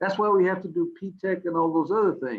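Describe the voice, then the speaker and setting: A man speaks at a fairly quick pace. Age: 60s. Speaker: school district superintendent. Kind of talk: panel discussion. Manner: halting, many restarts.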